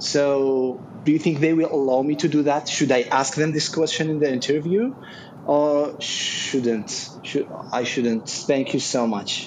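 Over noticeable background noise, a man talks fairly slowly in a fairly high pitch with fairly even intonation. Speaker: audience member, job seeker in IT. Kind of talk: audience question. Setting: video call.

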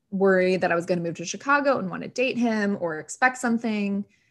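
A woman's medium-pitched, plain, everyday voice with ordinary pitch variation, over a quiet background. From non-US, raised in US. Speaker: podcast guest. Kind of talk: casual chat.

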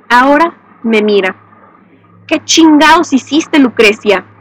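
A woman at a fairly slow pace, ordinary pitch variation, and noticeable background noise. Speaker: podcast host and narrator. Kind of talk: scripted narration of a horror story, read aloud. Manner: tense, hushed, seething first-person narration, sinister.

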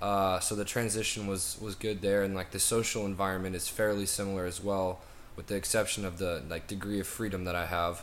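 Speaking at a fairly quick pace with hardly any pauses, a man with an American accent holds a monotone, flat intonation at a fairly low pitch, with audible room echo around him. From US South. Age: young. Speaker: college student. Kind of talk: interview. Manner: halting.

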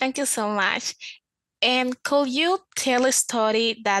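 Against a quiet background, a woman with a non-native accent talks at a very slow pace in a dry, close sound with no echo. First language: not English. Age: young. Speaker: podcast interviewer. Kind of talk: interview. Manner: giggly.

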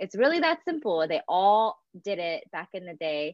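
With an American accent and a plain, everyday voice, a woman speaks at a moderate pace in a medium pitch. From US Northeast, greater Philadelphia. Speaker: environmental advocate. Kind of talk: live panel discussion. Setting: video call livestream.

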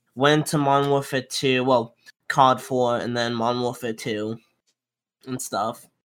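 Slowish and broken by long, frequent pauses, a man's speech holds a medium pitch and flat, monotone intonation. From Florida. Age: 20s. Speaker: competitive gamer. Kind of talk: casual interview chat.

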